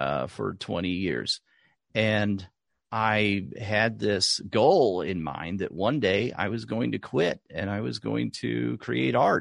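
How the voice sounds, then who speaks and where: Very slowly, a man with an American accent speaks at a fairly low pitch with vocal fry and very wide pitch swings, against a quiet background. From US South, rural Oklahoma. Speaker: artist and art podcast host. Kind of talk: interview conversation.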